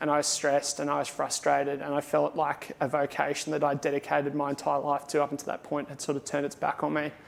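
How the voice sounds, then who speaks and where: With an Australian accent, a man talks at a fairly quick pace in a fairly high pitch. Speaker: airline pilot. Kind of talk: conference talk.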